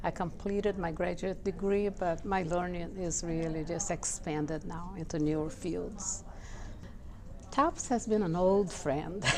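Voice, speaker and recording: A woman with a Portuguese accent speaks at a fairly low pitch and a fairly slow pace with fairly even intonation, and audible room echo surrounds her voice. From Brazil. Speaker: social services professional. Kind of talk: personal interview testimony.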